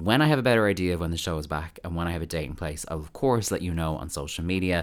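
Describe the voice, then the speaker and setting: A man's very deep, low voice with a Dublin accent at a very fast pace, with ordinary pitch variation, on a very clean recording with a silent background. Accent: Irish (Dublin). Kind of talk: casual chat. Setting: home recording late at night. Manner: soft-spoken.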